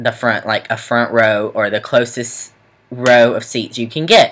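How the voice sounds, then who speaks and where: Against a quiet background, a man speaks at a fairly slow pace with a bright, sharp tone and ordinary pitch variation. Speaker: student vlogger. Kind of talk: casual vlog storytelling. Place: home room. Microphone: webcam.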